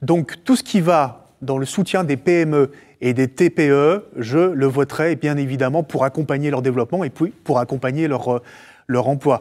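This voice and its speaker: A man speaks at a fairly high pitch with ordinary pitch variation against a quiet background. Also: fairly slow pace. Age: 40s. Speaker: politician; candidate. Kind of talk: campaign interview. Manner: hesitant with frequent fillers. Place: studio. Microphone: lapel.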